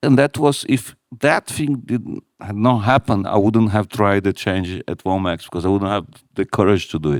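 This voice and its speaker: A man's fairly low voice with a non-native accent, lively intonation and a moderate pace, in a dry, close sound with no echo. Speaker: retail company CEO. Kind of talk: live on-stage interview. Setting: stage with audience.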